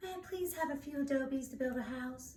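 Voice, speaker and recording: A put-on character voice at a fairly quick pace. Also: woman. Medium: read story.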